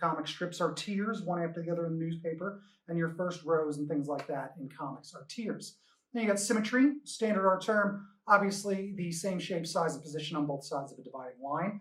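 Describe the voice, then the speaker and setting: A man talks at a fairly quick pace in a high voice with ordinary pitch variation and big swings in loudness. Room echo can be heard. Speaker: comics teacher. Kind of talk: lecture. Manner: fast.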